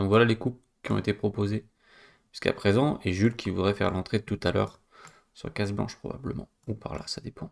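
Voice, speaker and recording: Over a quiet background, a man talks at a fairly quick pace with fairly even intonation and a fairly low pitch. He stops often for long pauses. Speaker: chess coach and streamer; chess coach, streamer. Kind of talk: live stream game analysis. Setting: live stream with chat. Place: home room.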